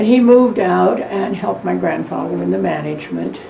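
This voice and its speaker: An American accent amid noticeable background noise and audible room echo. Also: woman. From West Virginia, US. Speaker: elderly interviewee recounting family history. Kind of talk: oral history interview. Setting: dining room at home.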